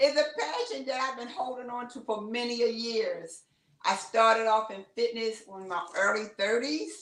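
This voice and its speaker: A woman has an unremarkable speaking voice, fairly high in pitch, with lively intonation. She talks at a moderate pace with big swings in loudness. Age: 60s. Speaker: fitness trainer. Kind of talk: interview.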